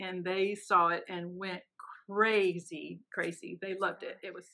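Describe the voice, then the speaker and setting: A woman speaks at a fairly slow pace with fairly even intonation against a quiet background. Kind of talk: interview answer. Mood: warm, amused storytelling. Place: office. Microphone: phone near.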